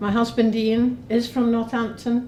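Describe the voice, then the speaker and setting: A woman with a Scottish accent at a moderate pace, with audible room echo. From Scotland. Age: 60s. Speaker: parliamentary candidate. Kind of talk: campaign speech.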